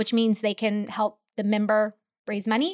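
A woman with an unremarkable speaking voice talks at a fairly quick pace. The sound is dry and close with no echo, against a quiet background. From Mississippi (military family, moved around the US Southeast). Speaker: environmental policy advocate. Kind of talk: interview.

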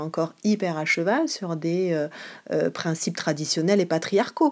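In an ordinary speaking voice, a woman talks at a fairly low pitch with fairly even intonation on a very clean recording with a silent background. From Marseille, southern France. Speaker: theatre director and actress. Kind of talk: interview answer.

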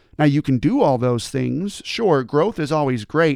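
With a normal speaking voice and a fairly high pitch, a man talks at a fairly slow pace in a dry, close sound with no echo, on a very clean recording with a silent background. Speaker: motivational speaker and former teacher. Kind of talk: motivational talk, scripted-style monologue. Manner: earnest, conversational, explanatory.

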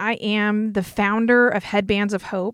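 A woman with a slight Southern US accent speaks in a monotone, flat way, in a very clean recording with a silent background and a dry, close sound with no echo. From North Carolina. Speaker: podcast host, speaker and entrepreneur. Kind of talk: podcast trailer, scripted intro.

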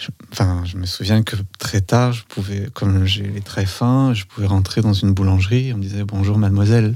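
His intonation is fairly even and his pitch fairly low. This man talks at a moderate pace. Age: 40s. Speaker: dancer and body-psychotherapist. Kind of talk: casual chat. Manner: halting.

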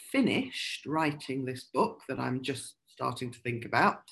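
A woman talks at a moderate pace. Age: 50s. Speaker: crime novelist and poet. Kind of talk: interview about writing craft.

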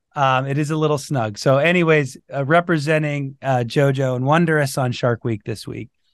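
Over a quiet background, a man talks at a moderate pace with fairly even intonation, his voice fairly high and an ordinary speaking voice. The sound is dry and close with no echo. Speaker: podcast host and dental consultant. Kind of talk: casual podcast interview.

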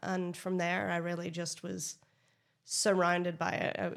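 A woman's fairly low voice in a Northern Irish accent, monotone and flat in intonation. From Northern Ireland. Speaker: beer expert, brewery sales manager. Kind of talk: casual chat.

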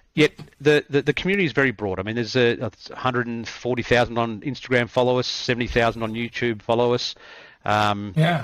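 At a moderate pace and medium pitch, a man with an Australian accent speaks in a very clean recording with a silent background. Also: ordinary pitch variation. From Australia, country Victoria. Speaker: cricket coach. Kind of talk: interview conversation.

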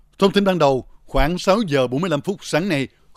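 This man has an ordinary speaking voice and lively intonation, moving at a fairly slow pace. The sound is dry and close, with no echo. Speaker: news reporter. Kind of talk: news reading.

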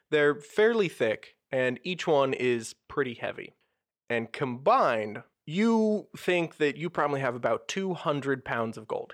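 A man speaks at a fairly slow pace in a fairly high pitch with very wide pitch swings, against a quiet background. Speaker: game master running tabletop role-playing game. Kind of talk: tabletop roleplaying game podcast, narrating and hosting.

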